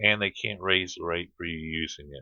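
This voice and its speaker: A man talks with an American accent. His intonation is fairly even and his pace moderate. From Florida, US South. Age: 50s. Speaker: vlogger. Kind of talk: casual monologue to camera. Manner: rambling, hesitant with fillers.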